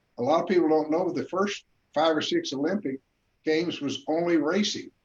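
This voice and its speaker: In an American accent, a man talks at a fairly quick pace, his high pitch showing ordinary variation. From US West, Colorado. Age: 80s+. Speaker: boxing official. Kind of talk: video panel interview.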